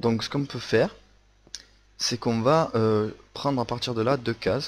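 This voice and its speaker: Ordinary pitch variation in a man's medium-pitched voice, at a fairly slow pace. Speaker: Minecraft video creator. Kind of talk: tutorial. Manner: hesitant, many fillers.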